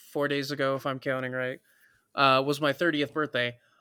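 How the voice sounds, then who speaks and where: Recorded dry and close with no echo, this voice has an American accent and a bright, sharp tone against a very clean, silent background. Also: man. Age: 30s. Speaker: podcast co-host. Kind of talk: casual chat.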